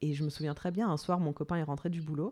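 A woman's very deep, low voice with a dark, mellow tone. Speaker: podcast host. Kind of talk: interview.

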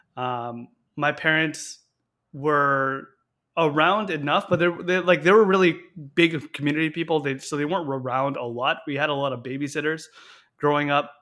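At a moderate pace, a man talks in a normal speaking voice with a fairly high pitch. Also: ordinary pitch variation, very clean recording, silent background. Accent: Canadian. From Canada, Victoria BC. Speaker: cadet instructor officer. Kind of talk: interview.

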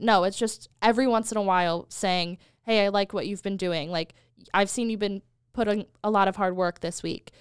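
A woman with a normal speaking voice and an American accent talks at a moderate pace and medium pitch with fairly even intonation, in a very clean recording with a silent background. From United States. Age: 20s. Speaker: marketing and social media worker. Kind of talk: casual chat.

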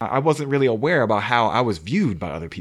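At a fairly quick pace, a man talks at a medium pitch with lively intonation, in an ordinary speaking voice. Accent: American. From Maryland, Montgomery County. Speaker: podcast co-host. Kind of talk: casual chat.

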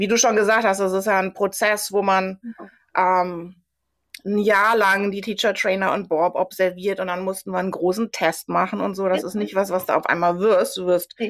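A woman at medium pitch, moderate pace and fairly even intonation. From Germany, Sauerland. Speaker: Pilates instructor. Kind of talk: interview.

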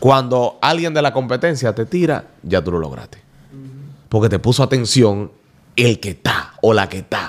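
Vocal fry creeps into the man's voice as his intonation stays lively. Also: medium pitch for a man, moderate pace. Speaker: radio presenter. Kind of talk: casual chat.

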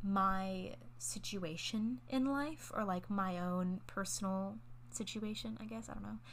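A somewhat breathy woman's voice at medium pitch, with audible room echo. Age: 20s. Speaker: podcast host. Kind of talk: casual monologue. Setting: at boyfriend's house.

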